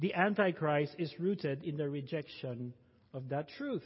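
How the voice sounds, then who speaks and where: The speaker is a man. He has a Filipino accent. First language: Tagalog. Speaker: pastor. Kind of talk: sermon.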